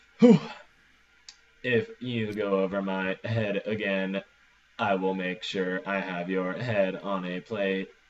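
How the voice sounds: A man uses a put-on character voice with a menacing tone and a fairly low pitch. He leaves long, frequent pauses. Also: fairly slow pace.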